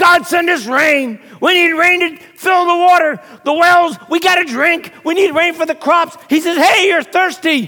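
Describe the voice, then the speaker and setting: In a raised, projected voice with an animated tone, a man speaks fairly slowly at an extremely high pitch and very even loudness. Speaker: guest preacher. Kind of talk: sermon, preacher in full flow, rousing call-and-response style. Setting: church with live audience. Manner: animated, emphatic, repeats phrases for effect; loud, shouting with fervor.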